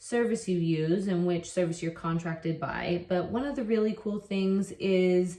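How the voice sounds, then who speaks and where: Noticeable background noise sits behind a woman with an American accent. She talks at a moderate pace with medium pitch and ordinary pitch variation. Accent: very American. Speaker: online English teacher. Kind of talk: casual vlog talk. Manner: casual, with fillers and repetitions.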